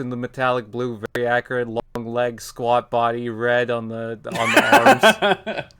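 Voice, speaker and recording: Noticeable background noise runs under the voice. The delivery comes at a fairly slow pace. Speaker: toy reviewer podcast co-host. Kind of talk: casual chat. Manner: animated; measured tone when reviewing.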